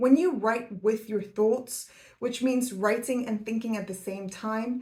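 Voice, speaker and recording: Here a woman talks with a non-native accent and a fairly high pitch. Her pace is moderate. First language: not English. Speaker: academic YouTuber, PhD researcher. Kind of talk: scripted educational talk. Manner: formal.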